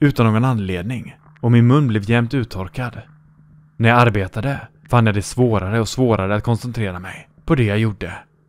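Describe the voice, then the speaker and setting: A man speaks in an ordinary speaking voice with a medium pitch and ordinary pitch variation. The recording is very clean, with a silent background. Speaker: horror story narrator. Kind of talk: scripted creepypasta narration, ghost story told in first person. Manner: grave and fearful, dread building.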